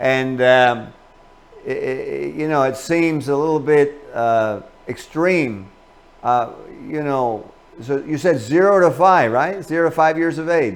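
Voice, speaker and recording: With noticeable background noise behind him, a man with a fairly high voice speaks at a very slow pace with ordinary pitch variation. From Cuba. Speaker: talk show host. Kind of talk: interview.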